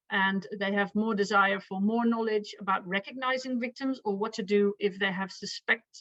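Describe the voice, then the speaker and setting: With a Dutch accent, a woman talks at a moderate pace and medium pitch with fairly even intonation. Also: hardly any pauses. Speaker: victim support professional. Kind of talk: conference presentation. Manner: halting.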